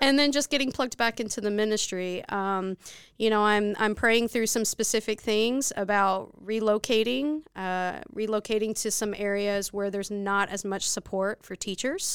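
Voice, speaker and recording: A woman with a plain, everyday voice speaks at a fairly high pitch and a moderate pace, with fairly even intonation and hardly any pauses. The recording is very clean with a silent background. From Texas, Dallas area. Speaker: missionary. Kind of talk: interview.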